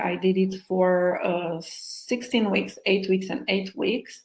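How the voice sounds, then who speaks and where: Speaking very slowly with a non-native accent, a woman with a medium pitch sounds somewhat breathy. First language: not English. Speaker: hypnotherapist and co-author. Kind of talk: interview, personal story. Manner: halting, with fillers.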